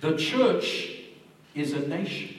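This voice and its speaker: Noticeable background noise surrounds the recording. A man speaks at a fairly slow pace. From Zimbabwe. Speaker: evangelist preacher. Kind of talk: sermon. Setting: church with congregation, microphone.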